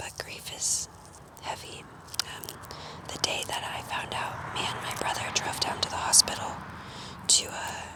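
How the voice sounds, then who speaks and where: Someone whispers at a fairly slow pace, with long, frequent pauses and noticeable background noise. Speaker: ASMR content creator. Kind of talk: ASMR whispered ramble about grief, talking to camera. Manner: whispered, quiet.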